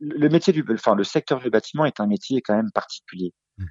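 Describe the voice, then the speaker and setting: A man at medium pitch with lively intonation and a moderate pace. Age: 40s. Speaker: franchisee, roofing business owner. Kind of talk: interview. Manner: halting.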